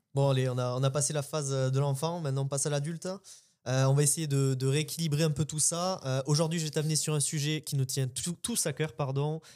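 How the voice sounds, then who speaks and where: A man with a southern French accent talks at a fairly quick pace, his fairly high voice dark and mellow with fairly even intonation, on a very clean recording with a silent background. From southern France. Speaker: podcast co-host. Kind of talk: casual discussion.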